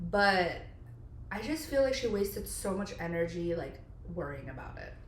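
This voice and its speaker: Audible room echo surrounds a woman speaking at medium pitch and a moderate pace. Her voice moves in very wide pitch swings and big swings in loudness. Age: 30s. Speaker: podcast co-host. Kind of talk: casual chat. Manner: casual, filler-heavy.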